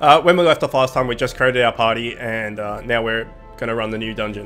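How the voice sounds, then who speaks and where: A man at a medium pitch with ordinary pitch variation, fairly quick in pace, with music in the background. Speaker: gaming video host. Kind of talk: casual gameplay commentary.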